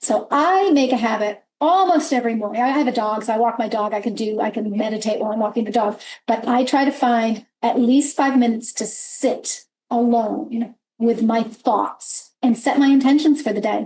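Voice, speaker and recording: At a moderate pace, a woman talks in an ordinary speaking voice, fairly high in pitch with ordinary pitch variation. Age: 60s. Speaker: business leader, panel moderator. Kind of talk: panel discussion.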